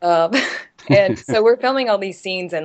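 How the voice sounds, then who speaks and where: Speaking with an American accent, a woman shows ordinary pitch variation. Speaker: model and actress. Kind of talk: interview answer. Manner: casual, chatty.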